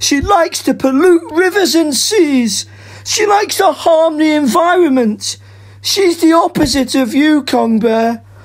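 Over light background noise, someone uses a put-on character voice at a fairly slow pace. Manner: indignant, complaining.

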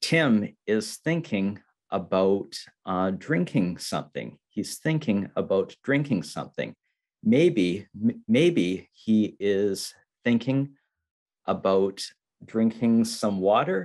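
Over a quiet background, a man speaks at a very slow pace with a fairly low pitch. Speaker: english teacher. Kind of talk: slow teaching talk. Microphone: video call.

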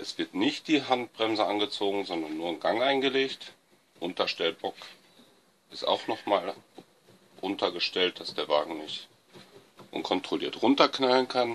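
A man with vocal fry speaks at a fairly slow pace, leaving long, frequent pauses. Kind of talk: tutorial. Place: garage. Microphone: phone near.

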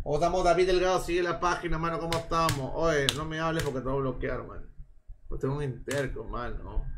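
There is music in the background. Over it, a man speaks at a fairly high pitch. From Peru, Lima (Chorrillos). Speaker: live streamer. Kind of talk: casual live stream chat with betting commentary. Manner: animated.

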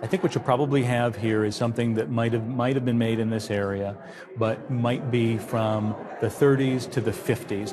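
Music plays in the background as a man speaks. His pace is fairly quick and his intonation fairly even. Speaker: antiques appraiser. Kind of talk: appraisal interview explanation. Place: studio. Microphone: lapel.

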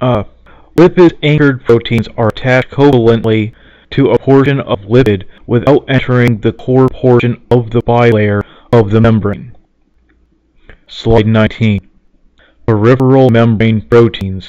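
A man with an American accent speaks at a moderate pace, with fairly even intonation, very even loudness and long, frequent pauses. The sound is dry with no echo over a quiet background. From United States. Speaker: reader for a friend. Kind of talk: presentation slide reading. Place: home room. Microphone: webcam.

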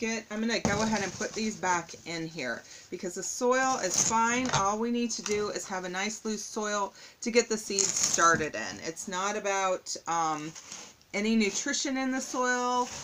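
At a moderate pace, a woman speaks with ordinary pitch variation against noticeable background noise. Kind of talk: tutorial. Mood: relaxed, slightly puzzled. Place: home room. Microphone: phone near.

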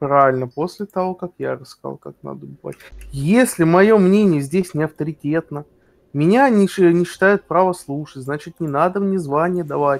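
With a plain, everyday voice, a man at a fairly high pitch talks at a moderate pace, his loudness swinging widely and his pitch varying in an ordinary way, captured dry and close with no echo in a very clean recording over a silent background. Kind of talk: heated debate. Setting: voice chat during game raid. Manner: gets emotional and stretches words.

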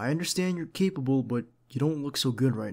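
Against a quiet background, a man talks at a moderate pace, his pitch varying in an ordinary way. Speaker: voice actor playing a bodyguard. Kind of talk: roleplay monologue. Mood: caring, firm, gentle.

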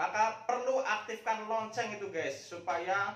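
In a space with audible room echo, a man speaks at a fairly slow pace with ordinary pitch variation. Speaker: YouTube channel host. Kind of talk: casual vlog chat. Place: office. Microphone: camera far.

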